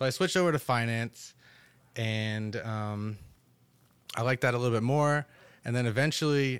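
A man with an American accent uses an ordinary speaking voice at medium pitch with ordinary pitch variation. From northern New Jersey, Totowa. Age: 20s. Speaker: e-commerce entrepreneur. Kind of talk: casual chat.

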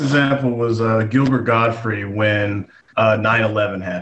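With an American accent, a man with a normal speaking voice talks at a medium pitch and a fairly slow pace, his pitch varying in an ordinary way. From Texas, Gatesville. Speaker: comedian. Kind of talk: interview.

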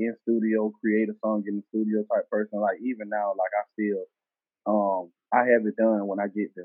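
With a Southern US accent, a man talks at a moderate pace in a fairly low voice. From US South, Selma, Alabama. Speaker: rapper. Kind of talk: casual interview.

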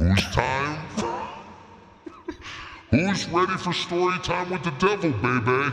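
Putting on a character voice at a fairly high pitch, a man speaks at a fairly slow pace with long, frequent pauses, slight echo and clear background noise. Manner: playful, storytelling.

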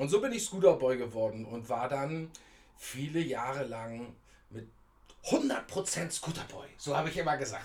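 A man speaks in an ordinary speaking voice at a fairly slow pace. His intonation is lively, with big swings in loudness. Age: 50s. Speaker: scooter enthusiast. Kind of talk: interview. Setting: in person.

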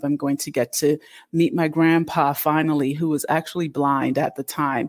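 A woman with a Northeastern US accent and a very deep, low pitch, fairly even intonation and a moderate pace, on a very clean recording with a silent background. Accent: American Northeast. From Connecticut, US, Canadian-born of Jamaican parents. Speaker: expat community founder. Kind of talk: interview.

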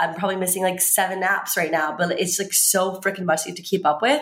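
In an American accent, a woman talks at a moderate pace and a medium pitch, in an ordinary speaking voice. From US South, Virginia. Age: 20s. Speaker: fitness trainer and swimsuit model. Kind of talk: casual chat.

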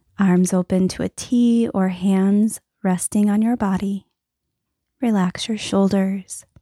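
Very slowly, a woman speaks in a dark, mellow, calm and soothing tone with flat, monotone intonation, recorded very cleanly against a silent background with a dry, close sound and no echo. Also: medium pitch for a woman. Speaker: meditation guide. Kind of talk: guided meditation. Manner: slow, calm, soothing; gentle, paced with breaths.

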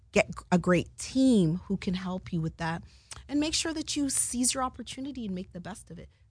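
A woman with a medium pitch speaks at a fairly quick pace, somewhat breathy, with very wide pitch swings and big swings in loudness. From Canada (Jamaican-born). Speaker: television producer. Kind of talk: interview. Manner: animated.

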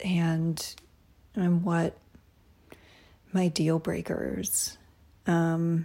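Soft-spoken and very slow, the speaker leaves long, frequent pauses on a very clean recording with a silent background. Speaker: podcast host. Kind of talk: casual monologue. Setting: at home at night. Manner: hesitant, many fillers.

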